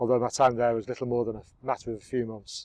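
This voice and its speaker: Monotone and flat, a man speaks very fast at a medium pitch, the sound dry and close with no echo. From northern England. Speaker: filmmaker narrating own life. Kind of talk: scripted narration.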